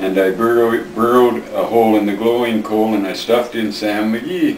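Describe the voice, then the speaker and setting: Noticeable background noise sits behind a man talking at a fairly quick pace, his medium pitch showing ordinary variation. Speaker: grandfather reading to family. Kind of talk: poetry reading. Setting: home recording, family at Christmas. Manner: expressive, dramatic.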